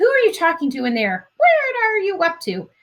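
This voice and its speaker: A woman uses a put-on character voice, extremely high, shrill and squeaky. Her pitch swings very widely at a moderate pace. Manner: suspicious, demanding.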